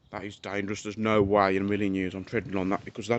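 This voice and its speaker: Speaking very fast in a monotone, flat way, a man with a British accent keeps a fairly low pitch. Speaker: urban explorer vlogger. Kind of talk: casual vlog narration while exploring. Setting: outdoors.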